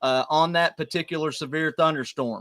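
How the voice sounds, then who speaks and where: Speaking at a moderate pace with fairly even intonation, a man's high-pitched voice carries a bright, sharp tone, recorded dry and close with no echo on a very clean recording with a silent background. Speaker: weather streamer. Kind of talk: live severe weather coverage.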